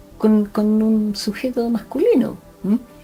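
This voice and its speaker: With a Chilean accent, a woman talks at a fairly high pitch while music plays in the background. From Chile, Concepción. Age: 60s. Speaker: forensic doctor. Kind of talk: interview. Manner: hesitant, with frequent fillers.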